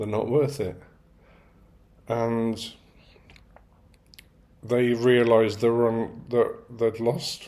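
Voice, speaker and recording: At a very slow pace, a man of medium pitch speaks with a dark, mellow tone. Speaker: stroke survivor. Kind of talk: casual talk to camera.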